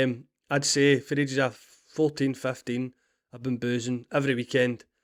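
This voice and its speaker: Monotone and flat, a man's medium-pitched voice moves at a moderate pace in a dry, close sound with no echo. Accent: Scottish. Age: 30s. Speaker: podcast host. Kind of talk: personal monologue. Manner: halting.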